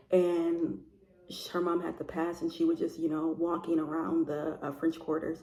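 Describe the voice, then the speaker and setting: Ordinary pitch variation and a moderate pace in a dark, mellow tone. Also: woman. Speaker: book vlogger. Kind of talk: casual vlog chat. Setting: at sister's house. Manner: soft-spoken, talking low.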